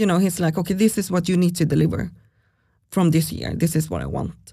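A woman speaks with a fairly low pitch, a dark, mellow tone and some vocal fry. Her intonation stays fairly even, and the recording is very clean with a silent background. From Sweden. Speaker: startup founder and CEO. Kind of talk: casual interview conversation.

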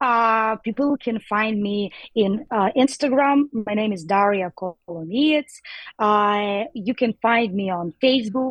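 Speaking with a Ukrainian accent, a woman talks at a very slow pace with ordinary pitch variation. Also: fairly high pitch for a woman. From Ukraine. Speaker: DJ and activist. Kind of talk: interview. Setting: phone or video call from New York. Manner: halting, searching for words.

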